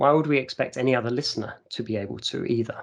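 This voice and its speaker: A man of medium pitch with an English accent, fairly quick in pace and fairly even in intonation. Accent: received pronunciation. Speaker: university staff presenter. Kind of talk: conference presentation. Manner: impromptu, with frequent fillers.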